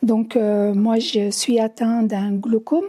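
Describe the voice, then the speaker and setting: On a very clean recording with a silent background, a woman speaks very slowly at a fairly high pitch, her tone dark and mellow and her intonation fairly even. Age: 60s. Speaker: visually impaired film viewer. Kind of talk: testimony. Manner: halting.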